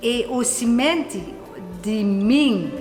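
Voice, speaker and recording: A woman's voice carries audible room echo. Noticeable background noise can also be heard. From Netherlands. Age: 60s. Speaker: flower grower and immigrant. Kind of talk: documentary interview. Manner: halting.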